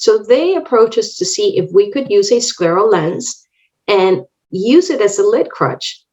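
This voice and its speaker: A woman speaks at a moderate pace in a Spanish accent, her pitch fairly high. Her intonation swings very widely. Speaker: optometrist and contact lens educator. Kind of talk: lecture. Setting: online webinar.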